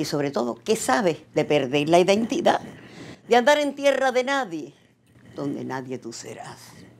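Speaking with a Cuban accent, a woman at a fairly low pitch moves at a moderate pace with very wide pitch swings over light background noise. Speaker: poet and actress. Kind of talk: rhymed poem performed, declaimed with dramatic emphasis. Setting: video message to the Cuban people. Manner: passionate, emotive, rhythmic delivery. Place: studio.

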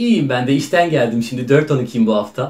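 A somewhat breathy man's voice with very wide pitch swings. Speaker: actor playing a factory worker on a phone call. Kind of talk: acted phone call monologue, casual. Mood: happy, proud. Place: home room. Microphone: camera far.

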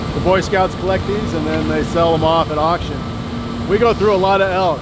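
A man's voice over loud background noise. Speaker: factory tour guide. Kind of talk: tour explanation. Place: factory.

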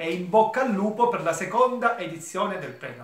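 With audible room echo, a man speaks at a fairly quick pace. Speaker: theatre company member. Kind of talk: recorded video greeting. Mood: moved, grateful. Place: home room. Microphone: phone near.

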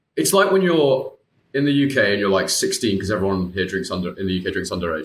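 A man talks at a fairly quick pace with a British accent and very wide pitch swings. His voice is somewhat breathy, and room echo is audible. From UK. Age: 20s. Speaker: IBD patient and former coaching client. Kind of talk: casual interview chat. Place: home room.

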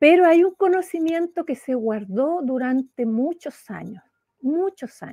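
The voice has a dark, mellow tone and a fairly slow pace, with big swings in loudness over a quiet background. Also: woman, high pitch for a woman. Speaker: spiritual author; interview guest. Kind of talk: spiritual talk in interview. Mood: warm, earnest, animated. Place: home room. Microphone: unstable connection; video call.

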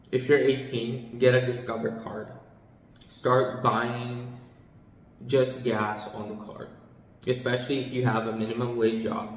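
In a room with audible echo, a man speaks at a fairly slow pace in a monotone, flat intonation, with long, frequent pauses. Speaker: finance vlogger. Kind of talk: tutorial. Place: home room.

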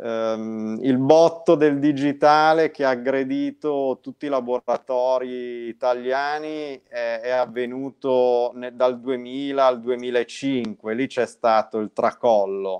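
A man at a very slow pace with hardly any pauses and fairly even intonation, against a quiet background. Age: 40s. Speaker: guest. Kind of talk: casual interview. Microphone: video call.

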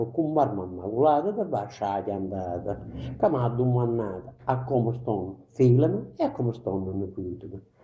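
A man with an Apulian accent speaks at a moderate pace and medium pitch, somewhat breathy, his tone dark and mellow. Room echo is audible. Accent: Ginosa dialect of Apulia. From Apulia, southern Italy. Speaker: poet. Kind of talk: poetry reading. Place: home room. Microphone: camera far.

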